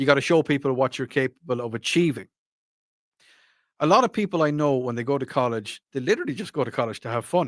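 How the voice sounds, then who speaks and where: The sound is close and dry, with no echo at all. A man speaks fairly quickly. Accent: Irish. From Ireland. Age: 40s. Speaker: radio talk show host. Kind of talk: radio call-in show, reading listener texts. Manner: casual, hesitant with fillers.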